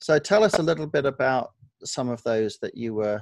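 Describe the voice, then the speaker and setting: With a slight Australian accent, a man talks at medium pitch with ordinary pitch variation. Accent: Australian accent barely noticeable. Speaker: author. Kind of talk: interview. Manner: halting, many fillers.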